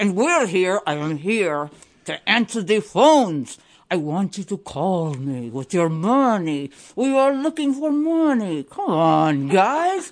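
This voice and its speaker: Over a quiet background, a woman uses a put-on character voice at medium pitch, with very wide pitch swings and a fairly slow pace. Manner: lisping through fake fangs.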